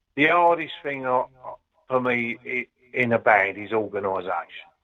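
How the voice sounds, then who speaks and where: Using lively intonation, a man talks with a London accent at a moderate pace. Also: medium pitch for a man. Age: 70s. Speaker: ska singer-songwriter. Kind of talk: interview. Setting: phone call. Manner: halting; animated.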